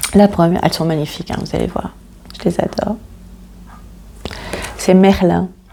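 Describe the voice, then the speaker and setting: A woman at a fairly low pitch speaks at a moderate pace in a monotone, flat intonation with long, frequent pauses and noticeable background noise. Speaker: tarot card reader. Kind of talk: tarot reading.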